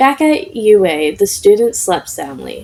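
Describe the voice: Lively intonation comes through in this plain reading aloud.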